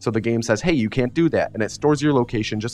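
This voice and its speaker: A man speaks with an American accent at medium pitch. Music plays in the background. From US Midwest. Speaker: speedrunner. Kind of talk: live stream commentary while playing. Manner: casual, filler-heavy.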